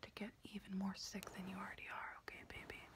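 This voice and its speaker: A woman whispers at a moderate pace. Her tone is soothing. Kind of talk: soft roleplay address to viewer. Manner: soft, soothing ASMR murmur. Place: home room. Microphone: phone near.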